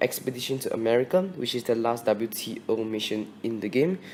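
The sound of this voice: Fairly quick in pace, a man speaks at a medium pitch. His tone is slightly mellow.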